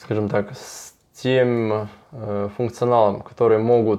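Very slow and monotone, a man talks with flat intonation at a fairly low pitch. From southern Russia. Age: 20s. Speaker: construction company owner. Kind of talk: interview.

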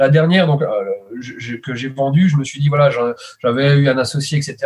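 A somewhat breathy man, fairly high in pitch, with fairly even intonation at a moderate pace. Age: 30s. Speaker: web services entrepreneur. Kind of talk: casual interview. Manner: hesitant, many fillers.

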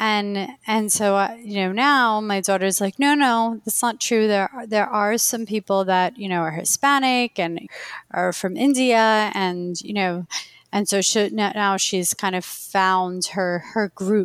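On a very clean recording with a silent background, a woman speaks with an Iranian accent. Her medium pitch has ordinary variation, and her pace is fairly slow. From Queens, New York. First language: Farsi. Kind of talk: casual interview conversation.

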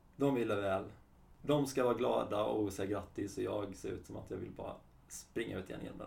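A man with a fairly low pitch and vocal fry speaks at a fairly quick pace with lively intonation, with audible room echo. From Sweden, Halmstad area (Halland). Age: 30s. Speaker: kinesiologist. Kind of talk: interview.

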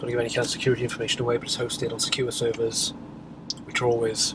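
Noticeable background noise fills the clip. The talking is very fast. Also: man. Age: 40s. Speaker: web developer and podcaster. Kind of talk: casual solo vlog monologue. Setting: office.

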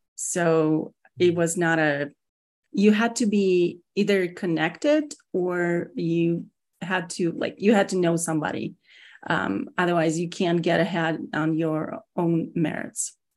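A woman with a slight Russian accent, fairly low pitch, ordinary pitch variation, very slow pace and a quiet background. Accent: Russian-accented English, slight to moderate. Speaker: security executive (CISO). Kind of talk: casual interview.

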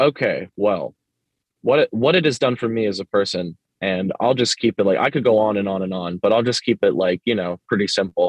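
This man has a plain, everyday voice. He speaks at a fairly low pitch and a fairly quick pace. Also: ordinary pitch variation. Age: 20s. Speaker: hardcore band vocalist. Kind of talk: casual chat.

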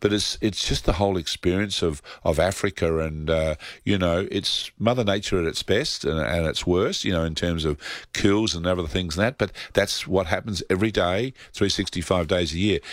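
A man speaks with an Australian accent. His pitch is very deep and low. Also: ordinary pitch variation, moderate pace. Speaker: travel agency owner. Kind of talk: radio interview.

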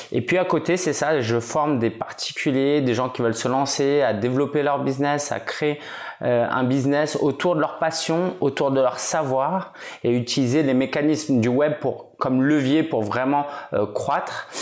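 Noticeable background noise sits behind a man's voice. His loudness stays very even, and his intonation is fairly even too. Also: fairly slow pace. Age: 30s. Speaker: entrepreneur and blogger. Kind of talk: casual interview.

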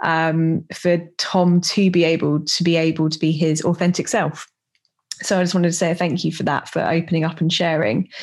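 Her voice is fairly low-pitched with monotone, flat intonation at a moderate pace. The woman is heard on a very clean recording with a silent background. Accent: British. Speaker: podcast host. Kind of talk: podcast intro and outro monologue.

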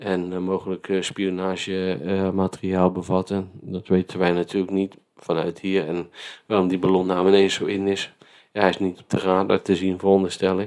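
A man speaks at a moderate pace with very deep, low pitch and monotone, flat intonation. His loudness swings widely on a very clean recording with a silent background. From Netherlands, Vlaardingen. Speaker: podcast host. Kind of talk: casual chat.

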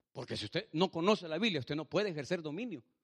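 Speaking at a very fast pace, a man uses lively intonation at a fairly high pitch. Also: dry, close sound with no echo. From El Salvador. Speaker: pastor. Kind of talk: sermon. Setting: church. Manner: animated.

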